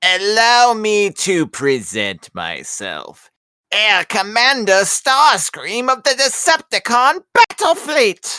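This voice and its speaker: A female-sounding, put-on character voice, fairly high in pitch, speaks at a very slow pace. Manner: pompous, commanding.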